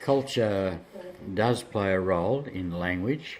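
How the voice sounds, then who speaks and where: In an Australian accent, the speaker talks at a very slow pace with ordinary pitch variation. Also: man. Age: 70s. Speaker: English as a second language teacher. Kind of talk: interview.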